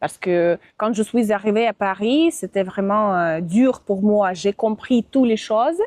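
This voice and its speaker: At a fairly slow pace, a woman speaks with a medium pitch. Her loudness stays very even, and her pitch varies in an ordinary way. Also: dry, close sound with no echo. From Russia, Moscow. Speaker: Russian and French teacher, visa assistant. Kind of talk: interview. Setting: outdoors. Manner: halting, many hesitations.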